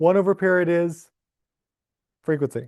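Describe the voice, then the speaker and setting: A man with a high pitch. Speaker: physics professor. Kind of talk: lecture. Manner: fast; animated.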